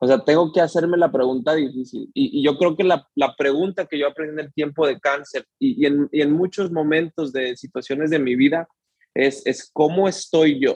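This man talks at a moderate pace, his pitch fairly high with ordinary variation. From Houston, Texas (Mexican-born). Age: 30s. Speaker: guest sharing personal faith story. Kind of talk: testimony. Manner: halting.

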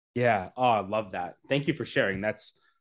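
A man speaks in a Canadian accent with an energetic tone and a medium pitch. His pitch varies in an ordinary way against a quiet background. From Canada. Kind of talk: casual interview chat. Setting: video call.

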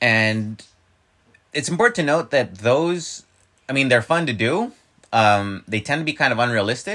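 A man's medium-pitched, bright, sharp voice with long, frequent pauses. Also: lively intonation, moderate pace. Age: 30s. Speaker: podcast host. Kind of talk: casual chat.

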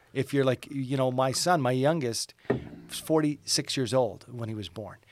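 With a Canadian accent, a man talks at a moderate pace in a normal speaking voice of medium pitch. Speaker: radio morning show host. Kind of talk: casual chat.

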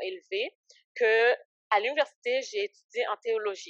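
The woman's intonation is lively. Her recording is dry and close, without any echo. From Canada, Ottawa area, Haitian-born. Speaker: ministry founder. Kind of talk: casual interview, faith testimony. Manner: hesitant, many fillers.

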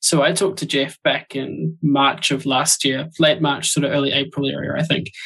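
A man's bright, sharp voice with a New Zealand accent and vocal fry, fairly high in pitch, at a moderate pace with hardly any pauses and fairly even intonation. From New Zealand, Auckland. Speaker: podcast co-host and podcaster. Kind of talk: casual chat.

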